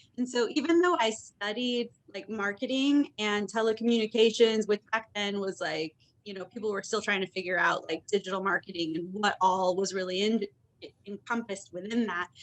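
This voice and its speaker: A woman with an American accent has an unremarkable speaking voice at medium pitch. She keeps a moderate pace with ordinary pitch variation. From US Midwest, Indiana. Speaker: content marketer. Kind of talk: knowledge session talk.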